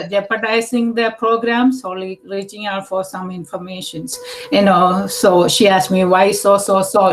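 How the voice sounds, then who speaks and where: A woman speaks with an Indian accent at a moderate pace. Her pitch sits in the medium range and varies in an ordinary way. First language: Indian language, not English. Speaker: task force member. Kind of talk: public meeting discussion. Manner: halting, many fillers.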